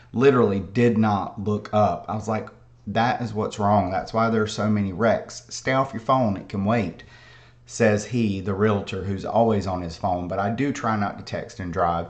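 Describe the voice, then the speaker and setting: A man at a fairly low pitch and moderate pace, with fairly even intonation and audible room echo. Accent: American. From South Carolina, near the North Carolina border. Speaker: realtor. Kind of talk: casual livestream chat. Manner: rambling, conversational.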